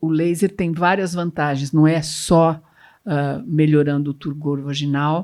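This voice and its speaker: Very deep, low female voice at a fairly slow pace, on a very clean recording with a silent background. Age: 70s. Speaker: gynecologist. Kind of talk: panel discussion.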